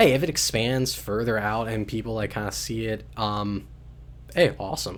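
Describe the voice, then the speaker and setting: A man's voice at medium pitch with ordinary pitch variation. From US, southern Maryland. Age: 20s. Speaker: podcaster. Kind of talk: casual monologue. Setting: home studio. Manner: fast; hesitant, many fillers.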